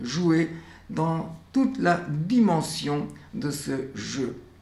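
A man talks with a fairly high pitch and a somewhat breathy quality. Audible room echo surrounds his voice. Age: 90s. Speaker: educator, founder of a children's painting studio; educator. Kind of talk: documentary interview monologue. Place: workshop.

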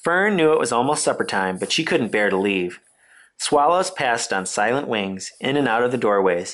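Reading aloud, plainly done

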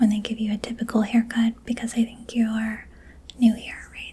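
Soft-spoken and flat in intonation, a woman talks at a moderate pace. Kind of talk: role-play salon chat, soft-spoken. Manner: soft-spoken, close-mic ASMR voice. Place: home room.

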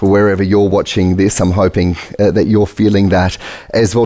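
Speaking at a fairly quick pace in a quiet background, a man has a plain, everyday voice with fairly low pitch. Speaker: event host. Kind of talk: host introduction. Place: stage. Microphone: headset.

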